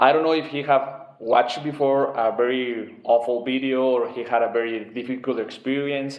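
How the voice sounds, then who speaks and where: A man's medium-pitched voice with a Spanish accent, moderate pace, flat monotone delivery, hardly any pauses, audible room echo and noticeable background noise. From Mexico. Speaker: former government security worker. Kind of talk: opinion monologue. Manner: halting.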